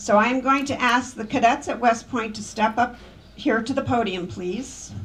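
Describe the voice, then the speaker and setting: The woman's voice is fairly high in pitch, with vocal fry. She keeps a moderate pace and fairly even intonation. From not Polish. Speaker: memorial speaker, preservation project leader. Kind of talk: memorial speech.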